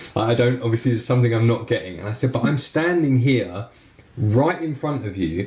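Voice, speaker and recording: Lively in intonation and somewhat breathy, a man talks at a fairly quick pace. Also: medium pitch for a man. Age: 40s. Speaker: podcast host and ski school owner. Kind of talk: casual chat. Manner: animated.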